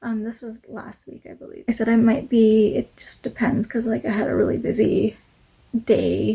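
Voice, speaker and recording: Mumbling at a moderate pace, a woman speaks. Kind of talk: casual talk to camera. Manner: mumbles, many fillers.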